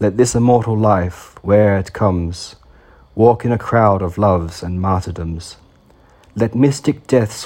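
At a fairly slow pace, a man with a fairly low pitch and a dark, mellow tone speaks with fairly even intonation. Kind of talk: poetry reading, solemn devotional verse read aloud. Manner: measured, formal, reverent delivery.

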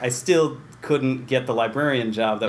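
Audible room echo surrounds a man who talks at a fairly quick pace with an American accent. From Central New York (Waterville, near Utica). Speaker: library director. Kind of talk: interview.

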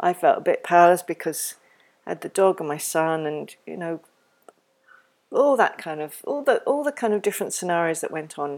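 A woman with an English accent talks at a fairly quick pace in a fairly low, warm voice, with very wide pitch swings and big swings in loudness on a very clean recording with a silent background. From England. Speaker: parenting educator podcaster. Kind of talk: educational talk. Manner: warm, reflective.

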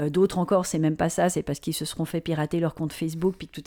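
In a monotone, flat delivery, a woman with a dark, mellow tone and a fairly low pitch speaks at a very fast pace. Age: 40s. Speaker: digital strategy and ethics consultant. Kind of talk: interview.

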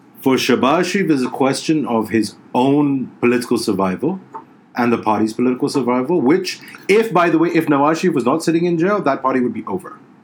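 Amid noticeable background noise, a man talks at a very fast pace with a fairly high pitch and lively intonation. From Middle East. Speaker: journalist. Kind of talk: casual chat.

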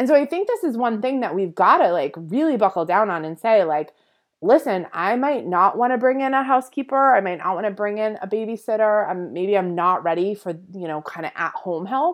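A woman's animated, medium-pitched voice with very wide pitch swings, over a quiet background. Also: fairly quick pace. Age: 30s. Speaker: podcast host and boutique business consultant. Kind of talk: solo business coaching talk.

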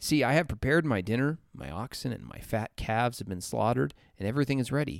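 Over a very clean, silent background, a man talks fairly quickly with very wide pitch swings. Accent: Upper Midwestern. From US Midwest. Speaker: church podcast co-host. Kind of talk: casual Bible discussion.

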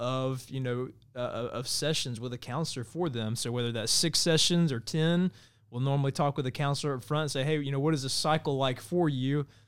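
In an American accent, a man with a normal speaking voice talks at a fairly quick pace, his pitch medium and its variation ordinary. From Georgia (US). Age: 30s. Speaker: nonprofit mental health advocate, firefighter. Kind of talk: interview. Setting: studio.

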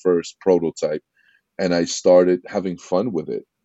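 A man's very deep, low voice with an East Coast US accent, at a moderate pace. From New York, Queens. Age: 50s. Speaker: entrepreneur, former music producer. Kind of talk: interview.

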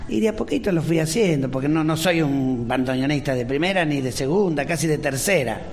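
Fairly high-pitched man with a Rioplatense accent at a fairly quick pace, over noticeable background noise. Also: ordinary pitch variation, hardly any pauses. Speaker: bandoneon player. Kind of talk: interview. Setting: stage with audience.

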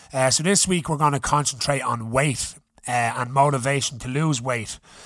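A furious, animated voice in an Irish accent at a moderate pace with ordinary pitch variation, on a very clean recording with a silent background. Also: man. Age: 30s. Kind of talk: casual chat, then an angry rant done as a story. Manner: loud, furious, swearing, animated, mimicking his father's rage.

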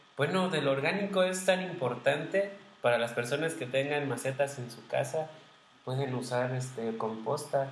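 With big swings in loudness and audible room echo, a man speaks at a fairly high pitch with ordinary pitch variation. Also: moderate pace. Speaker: podcast co-host, former seminarian. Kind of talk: casual chat.

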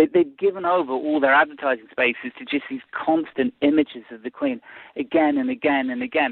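A man with a British accent speaks fairly quickly at a fairly high pitch. His pitch swings very widely and his loudness varies a lot. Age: 40s. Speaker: political commentator. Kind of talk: interview. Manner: halting.

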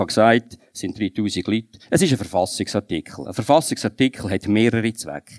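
A plain, everyday voice moves at a fairly quick pace on a very clean recording with a silent background and a dry, close sound with no echo. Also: man. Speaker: politician. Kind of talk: panel debate.

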